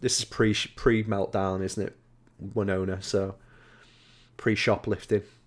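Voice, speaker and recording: A man with a Liverpool accent, fairly low in pitch, at a moderate pace and in a monotone, flat intonation, in a very clean recording with a silent background. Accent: Scouse. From Liverpool, England. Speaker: gaming podcast co-host. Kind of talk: casual chat.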